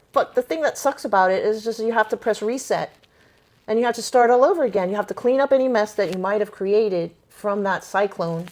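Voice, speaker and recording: An ordinary speaking voice at a fairly quick pace with ordinary pitch variation. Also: woman, fairly high pitch for a woman. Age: 50s. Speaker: podcaster interviewing her stepmother. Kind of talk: personal conversation.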